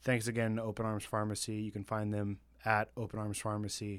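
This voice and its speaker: This man's voice sits fairly low and stays monotone and flat as he talks at a moderate speed. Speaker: podcast host. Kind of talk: casual banter, comedic film review. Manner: joking, laughs often.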